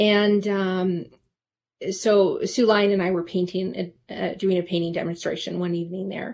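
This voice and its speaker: With a General American accent, a woman in an unremarkable speaking voice talks at a moderate pace and medium pitch with fairly even intonation. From Alaska, Anchorage. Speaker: portrait painter. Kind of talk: casual interview.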